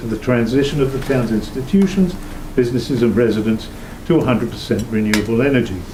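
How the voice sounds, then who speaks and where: Amid noticeable background noise and audible room echo, a man at medium pitch speaks with lively intonation. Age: old. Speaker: town committee volunteer. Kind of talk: public meeting presentation. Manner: fast.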